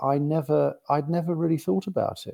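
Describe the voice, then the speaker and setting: A man with a London accent and a fairly high pitch is heard in a very clean recording with a silent background. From West London. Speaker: bishop. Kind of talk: interview.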